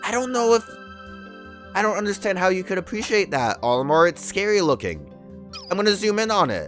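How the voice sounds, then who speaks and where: A man with a high pitch speaks at a fairly quick pace, with long, frequent pauses. Music plays in the background. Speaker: let's play gamer. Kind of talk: casual gameplay commentary.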